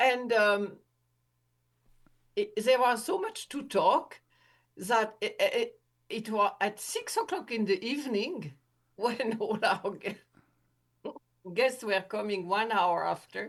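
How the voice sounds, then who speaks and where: Speaking at a very slow pace in a French accent, this voice has lively intonation broken by long, frequent pauses. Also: woman, fairly high pitch for a woman. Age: 80s+. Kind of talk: interview testimony. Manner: halting.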